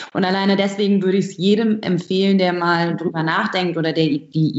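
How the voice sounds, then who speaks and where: Speaking at a moderate pace and medium pitch, a woman has a plain, everyday voice. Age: 20s. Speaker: barista and coffee roaster. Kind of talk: interview.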